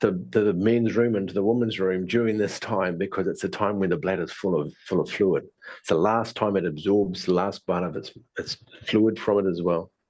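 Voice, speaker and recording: This man speaks with a New Zealand accent, a fairly low pitch and ordinary pitch variation. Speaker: tai chi and qigong teacher. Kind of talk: online presentation. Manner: fast; mumbling.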